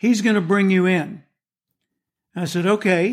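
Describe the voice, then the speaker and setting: A man talks at a fairly slow pace with a high pitch and a Southern US accent, his intonation fairly even. The recording is very clean, with a silent background. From US South. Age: 70s. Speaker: motivational speaker and author. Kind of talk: interview.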